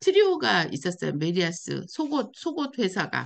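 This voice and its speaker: A woman speaks against a quiet background. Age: 60s. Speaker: life-design coach and YouTuber. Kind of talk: personal advice monologue.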